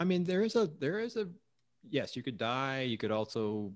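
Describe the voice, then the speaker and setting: A man speaks at a fairly quick pace with lively intonation in an unremarkable speaking voice. The background is quiet. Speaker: podcast co-host. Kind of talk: casual chat.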